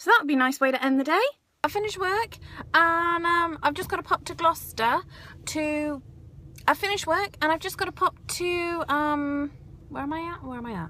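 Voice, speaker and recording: A woman's raised, projected voice, extremely high in pitch with ordinary variation, bright and sharp in tone, at a moderate pace with big swings in loudness. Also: dry sound with no echo. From England. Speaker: vlogger and reflexologist. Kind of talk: casual vlog. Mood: cheerful, upbeat. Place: car. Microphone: phone near.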